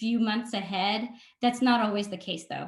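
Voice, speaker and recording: The speaker is a woman with a fairly high pitch. Her voice is somewhat breathy. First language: not English (English is her third language). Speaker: marketing consultant and workshop presenter. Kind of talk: webinar presentation. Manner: frequent filler 'um'.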